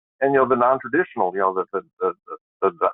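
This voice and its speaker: Here a man speaks with an Upper Midwest accent. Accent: northern Upper Midwest. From Wisconsin. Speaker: trucking regulatory expert. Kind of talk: webinar discussion. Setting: webinar. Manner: halting, many repeated words.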